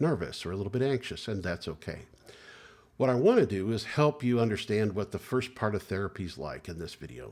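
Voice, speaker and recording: A man speaks in a normal speaking voice, fairly low in pitch, with lively intonation. The recording is very clean, with a silent background. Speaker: licensed clinical social worker, therapist. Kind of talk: educational talk to camera about therapy. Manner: calm, reassuring, conversational.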